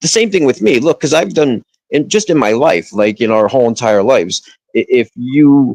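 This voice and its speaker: Speaking in an American accent, a man uses lively intonation at a moderate pace. The sound is dry and close, with no echo. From northern New Jersey. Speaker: livestreamer. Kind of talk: casual chat. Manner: halting, many restarts.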